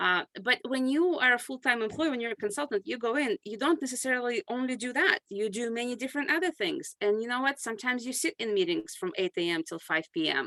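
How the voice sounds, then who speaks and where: Speaking very fast with hardly any pauses, a woman with a non-native accent and high pitch makes very wide pitch swings. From grew up abroad, moved to US at 14. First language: not English. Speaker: consulting firm CEO and author. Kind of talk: podcast interview.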